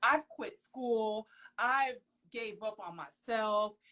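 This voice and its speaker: This woman's voice sits at a fairly high pitch. Her tone is animated. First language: Haitian Creole/French. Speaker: professional model. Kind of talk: interview. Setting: Instagram live video call.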